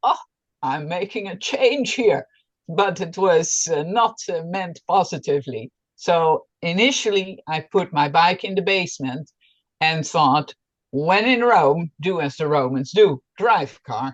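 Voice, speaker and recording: Speaking with a Dutch accent, a woman uses a fairly low pitch and lively intonation at a fairly slow pace, with big swings in loudness. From Netherlands. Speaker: planning board member. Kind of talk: meeting introduction.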